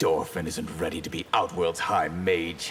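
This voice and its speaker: Growling put-on character voice from a man at a moderate pace, with clear background noise. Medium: video game.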